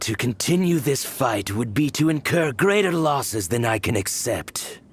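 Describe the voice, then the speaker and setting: At a medium pitch, the man speaks in a put-on character voice. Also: moderate pace. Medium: video game. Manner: cold, measured.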